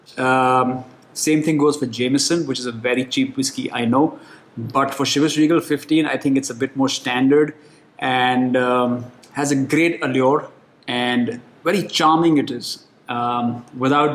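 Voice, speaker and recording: A man talks with an Indian accent at a fairly slow pace. His intonation is fairly even. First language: Hindi. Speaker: whiskey reviewer. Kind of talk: product review. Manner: casual, relaxed.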